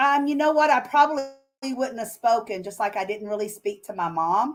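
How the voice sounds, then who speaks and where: With a Southern US accent, a woman speaks at a moderate pace and fairly high pitch, her intonation lively. The recording is very clean, the background silent. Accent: Southern US accent, noticeable. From Arkansas. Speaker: author and business owner. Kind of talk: interview.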